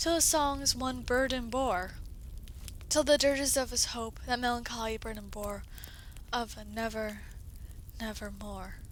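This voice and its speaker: A woman speaks at a fairly slow pace with a dramatic tone. She leaves long, frequent pauses. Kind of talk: poetry reading.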